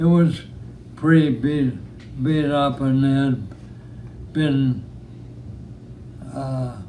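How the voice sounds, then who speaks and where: Speaking at a very slow pace, a man keeps a fairly high pitch and fairly even intonation. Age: 80s+. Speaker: war veteran. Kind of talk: interview answer.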